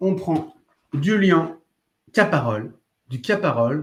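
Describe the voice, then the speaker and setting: Against a quiet background, a man's somewhat breathy voice carries lively intonation. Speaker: art supplies shop livestream host. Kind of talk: live demonstration stream answering chat. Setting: live video stream. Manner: fast; animated.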